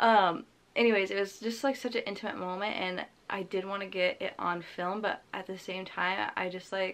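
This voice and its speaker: Moderate pace from a woman at medium pitch, fairly even in intonation, over a very clean recording with a silent background. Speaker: lifestyle vlogger. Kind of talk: casual chat.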